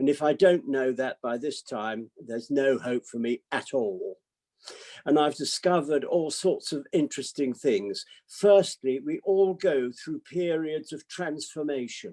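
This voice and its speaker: With a British accent and a dark, mellow tone, a man speaks at a fairly slow pace with fairly high pitch and lively intonation, in a dry, close sound with no echo. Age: 80s. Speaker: psychiatrist. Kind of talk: talk to online audience.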